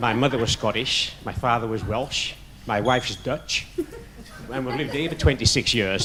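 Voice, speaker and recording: Over noticeable background noise, a man with a northern English accent speaks fairly quickly at a medium pitch with ordinary pitch variation. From northern England. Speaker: audience member. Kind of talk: audience question.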